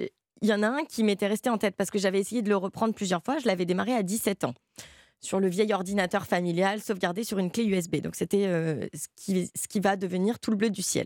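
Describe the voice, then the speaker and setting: Here is a woman with a plain, everyday voice, medium in pitch, speaking at a fairly quick pace with ordinary pitch variation. The sound is dry and close with no echo, in a very clean recording with a silent background. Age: young. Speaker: novelist. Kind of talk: interview.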